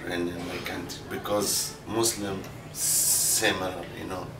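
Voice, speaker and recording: Speaking very slowly, a man has an Arabic accent. Noticeable background noise and audible room echo surround him. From Libya. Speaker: adult English learner. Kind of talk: classroom interview. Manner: halting, many fillers.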